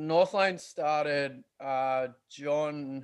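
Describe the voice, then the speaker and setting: A man is talking. He has an Australian accent. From Australia, western Sydney. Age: 30s. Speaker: metal band guitarist. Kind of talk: casual interview chat.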